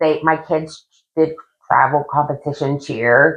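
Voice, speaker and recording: A woman speaks at a very slow pace with a Midwestern American accent. Her pitch is very deep and low. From Ohio, Steubenville. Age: 40s. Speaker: abuse survivor. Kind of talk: interview testimony. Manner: hesitant, with frequent um.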